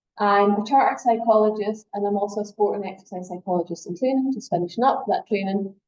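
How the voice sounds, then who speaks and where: A woman with a Scottish accent at medium pitch, very fast and with hardly any pauses, and ordinary pitch variation. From Scotland. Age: middle-aged. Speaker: sport psychology lecturer. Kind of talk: workshop lecture. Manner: fast when excited.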